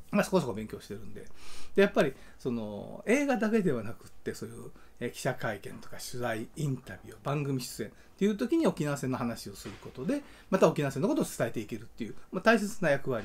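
Male voice, fairly high, fairly quick, with vocal fry, big swings in loudness and very wide pitch swings. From Kansai, Japan. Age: 60s. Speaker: film director and YouTube channel host. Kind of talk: casual solo talk, update video. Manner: rambling, conversational. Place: home room. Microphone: phone near.

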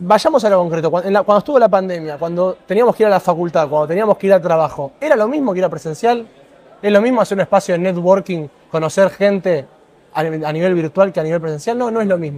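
A man's high-pitched voice, with ordinary pitch variation, moves at a very fast pace. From Argentina. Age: 20s. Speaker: environmental activist; interviewee. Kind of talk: interview. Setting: conference pavilion set. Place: hall.

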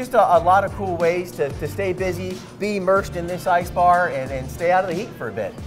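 With clear music in the background, a man speaks at a fairly quick pace and hardly pauses. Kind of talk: interview answer. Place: bar. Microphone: lapel.

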